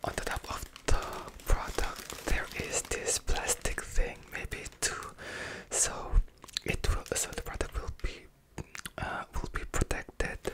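Whispering at a very slow pace, a man leaves long, frequent pauses. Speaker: ASMR creator. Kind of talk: ASMR unboxing. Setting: close-mic home recording. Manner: whispered. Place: home room. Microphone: studio mic.

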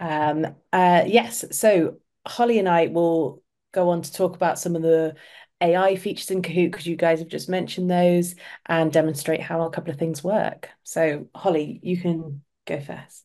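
Someone speaks with an English accent at a moderate pace and fairly even intonation. The background is quiet. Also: woman, fairly low pitch for a woman. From England. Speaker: community specialist, former ESL teacher. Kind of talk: webinar hosting and software demo. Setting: online webinar. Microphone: webcam.

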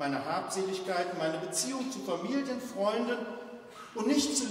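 Reading aloud in a natural voice, the speaker keeps the intonation lively.

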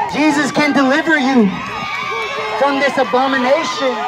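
Loud background noise runs through the clip. A man speaks at a moderate pace. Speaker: street preacher. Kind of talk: street preaching, confrontational sermon to passersby. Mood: combative, scolding. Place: street. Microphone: phone near.

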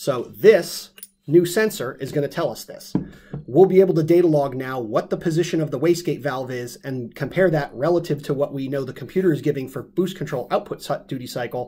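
Ordinary pitch variation marks this man's fairly quick delivery. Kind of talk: technical product explanation. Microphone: webcam.

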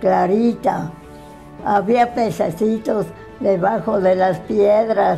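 Over faint music in the background, a woman talks at a very slow pace with fairly even intonation. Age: 80s+. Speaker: interviewee telling her life story. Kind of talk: interview answer. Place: home room.

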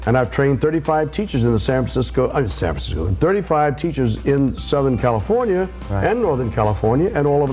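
A man talking at a moderate pace over faint music in the background. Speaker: voice teacher guest. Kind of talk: interview answer. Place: studio. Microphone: lapel.

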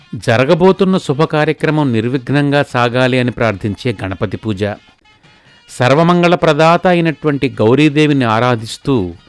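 With music in the background and a dry, close sound with no echo, a man speaks at a fairly high pitch with lively intonation. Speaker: wedding commentator. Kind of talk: live wedding commentary promo.

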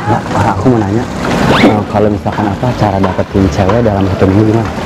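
A man speaks very fast in a fairly low, monotone voice with flat intonation, the sound dry with no echo over loud background noise. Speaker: prank comedian. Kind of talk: street prank talk with strangers. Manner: whispered. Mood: playful, awkward. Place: garden.

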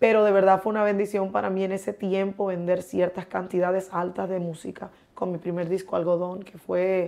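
A woman with a dark, mellow tone speaks at a moderate pace with hardly any pauses. Her intonation is monotone and flat, while her loudness swings widely. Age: 40s. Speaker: guest. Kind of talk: interview. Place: studio.

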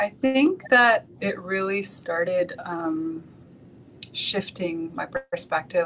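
A woman with a Canadian accent speaks with ordinary pitch variation over light background noise. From Vancouver, Canada; British Columbia, Canada. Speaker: interview guest. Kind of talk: interview. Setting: video call. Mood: calm, reflective. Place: home room. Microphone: video call.

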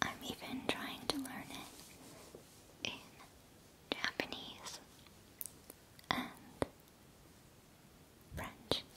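Whispering at a very slow pace, the voice leaves long, frequent pauses. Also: woman. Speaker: ASMR creator. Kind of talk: ASMR personal attention. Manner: whispered. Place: home room. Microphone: studio mic.

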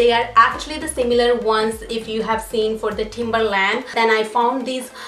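A woman at a fairly slow pace, with light background noise and audible room echo. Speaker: vlogger. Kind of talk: casual haul vlog chat. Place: home room. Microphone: camera far.

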